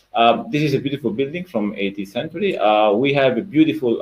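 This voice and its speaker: A man speaks with an Italian accent. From Italy. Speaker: sports education manager. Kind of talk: webinar presentation. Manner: hesitant, many fillers.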